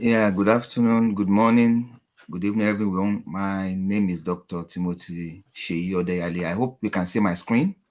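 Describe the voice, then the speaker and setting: A man with a Nigerian accent, fairly even intonation, hardly any pauses. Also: fairly low pitch for a man, moderate pace. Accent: Nigerian (Yoruba) English. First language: Yoruba. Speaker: academic presenter. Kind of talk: conference presentation. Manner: hesitant, many fillers.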